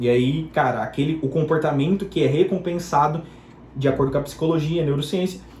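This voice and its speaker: Room echo is audible here. The man's voice is fairly high in pitch. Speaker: digital marketing entrepreneur. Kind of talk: personal testimony. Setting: home bedroom. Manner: fast; spontaneous, unscripted.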